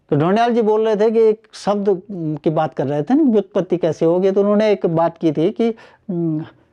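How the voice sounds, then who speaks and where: A man speaks at a moderate pace in a high voice with a dark, mellow tone and ordinary pitch variation. The sound is dry and close with no echo, the loudness is very even, and the background is quiet. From Garhwal, Uttarakhand (Rudraprayag district). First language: Garhwali (speaking Hindi). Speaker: linguist. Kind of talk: interview. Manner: halting, many fillers.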